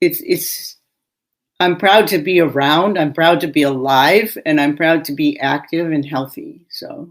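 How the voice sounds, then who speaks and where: In a normal speaking voice, a woman talks fairly slowly at a fairly low pitch with ordinary pitch variation. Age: 60s. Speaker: physician and podcast host. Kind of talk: casual chat.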